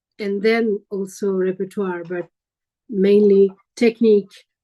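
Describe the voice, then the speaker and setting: Speaking very slowly, a woman uses a medium pitch and a dark, mellow tone with flat, monotone intonation. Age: 60s. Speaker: jazz singer, meditation participant. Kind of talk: group sharing in meditation circle. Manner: halting.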